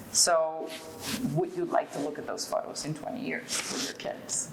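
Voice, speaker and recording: A woman talks. Noticeable background noise accompanies her. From Venezuela. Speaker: fashion designer. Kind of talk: interview answer.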